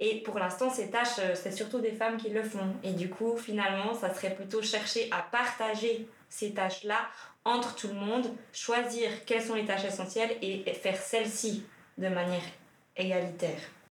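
A woman's fairly high voice with fairly even intonation at a moderate pace, amid noticeable background noise and audible room echo. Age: 30s. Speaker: feminist activist, social work association employee. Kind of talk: casual discussion.

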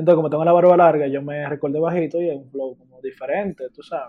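A man speaking at a fairly quick pace. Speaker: university student, podcast guest. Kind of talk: casual chat. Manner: animated.

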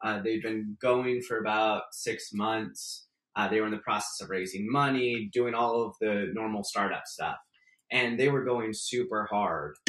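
With an American accent and a plain, everyday voice, a man talks at a fairly slow pace, his medium pitch held in fairly even intonation. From San Francisco Bay Area, California. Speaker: startup attorney and investor. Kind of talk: interview.

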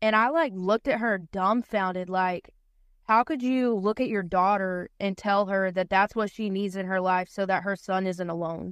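A woman with a North Carolina accent and ordinary pitch variation in a dry, close sound with no echo against a quiet background. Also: medium pitch for a woman, moderate pace. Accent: US Southern (North Carolina). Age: 20s. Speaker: guest. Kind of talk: casual chat.

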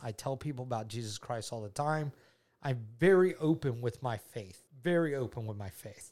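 A man at medium pitch speaks in a Southern US accent, with an animated tone and ordinary pitch variation. His pace is fairly quick, and the recording is very clean with a silent background. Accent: Southern US (Georgia). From US South, Georgia. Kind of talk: casual faith chat and testimony.

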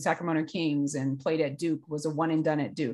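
A woman talks at a moderate pace in a plain, everyday voice, with a quiet background. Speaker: sports mental performance coach. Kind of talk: casual interview conversation.

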